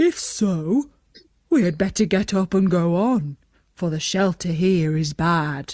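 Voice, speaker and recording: Using a put-on character voice, a woman speaks at a fairly slow pace and a fairly low pitch. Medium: read story.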